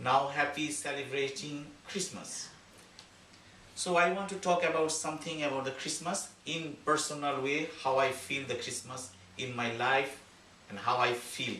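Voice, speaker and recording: Noticeable background noise and audible room echo surround this recording. A man with a Bengali accent talks at a moderate pace with ordinary pitch variation. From Bangladesh. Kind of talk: speech at community holiday event. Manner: halting.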